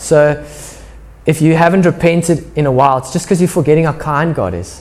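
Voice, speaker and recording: At a moderate pace, a man talks in a fairly high pitch. Noticeable background noise runs behind him. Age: 30s. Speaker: pastor. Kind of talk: sermon. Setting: church. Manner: casual, conversational.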